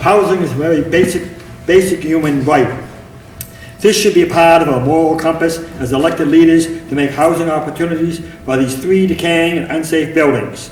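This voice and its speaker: This man's fairly high voice moves at a moderate speed with ordinary pitch variation, while room echo and noticeable background noise are audible. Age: 70s. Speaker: city councilor. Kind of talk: council meeting speech. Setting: council chambers.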